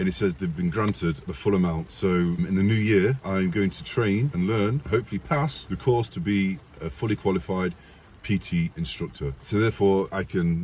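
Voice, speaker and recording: Man with an English accent, very deep and low in pitch, lively in intonation, at a moderate pace. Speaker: army veteran and YouTuber. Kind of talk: casual vlog storytelling.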